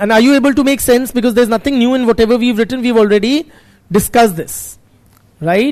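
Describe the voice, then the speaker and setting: A man talks at a very fast pace. His pitch is extremely high, with ordinary variation. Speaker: sociology teacher. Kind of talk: classroom lecture. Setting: classroom with students.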